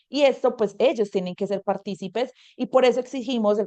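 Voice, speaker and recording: Recorded dry and close with no echo against a quiet background, a woman speaks in a dark, mellow tone. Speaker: environmental activist. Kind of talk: webinar talk. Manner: fast.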